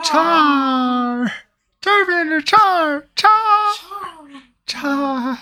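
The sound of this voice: Using a put-on character voice at a high pitch, the speaker goes very slowly and stops for long pauses again and again.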